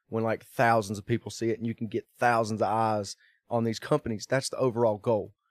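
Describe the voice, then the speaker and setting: With a Southern US accent, a man talks at a medium pitch in a dry, close sound with no echo on a very clean recording with a silent background. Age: 30s. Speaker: drift car driver. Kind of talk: casual chat.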